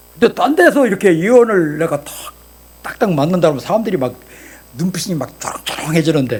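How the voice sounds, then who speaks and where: There is noticeable background noise as a man talks at a high pitch with very wide pitch swings. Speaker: pastor and voice actor. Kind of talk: sermon. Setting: church service with congregation. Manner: animated.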